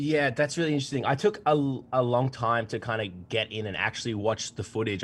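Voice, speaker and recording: Speaking at a fairly quick pace with an Australian accent, the man uses ordinary pitch variation. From Melbourne, Australia. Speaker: contest finalist, editor.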